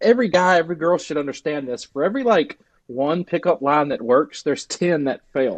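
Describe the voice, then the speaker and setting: Sound is dry and close with no echo. A man speaks with a Southern US accent at a moderate pace. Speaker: dog trainer. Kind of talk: podcast guest interview answer. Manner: casual, conversational.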